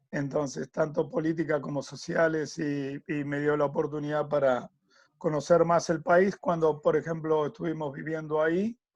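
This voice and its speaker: Against a quiet background, a speaker with an Argentine accent talks at a moderate pace with fairly even intonation. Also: man. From Argentina. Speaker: tennis coach and sports consultant. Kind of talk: interview.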